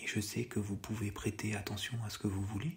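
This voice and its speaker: The speaker whispers. The voice is soft-spoken. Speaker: ASMR hypnosis / relaxation guide. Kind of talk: guided hypnosis relaxation session. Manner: soft-spoken, whispered, slow.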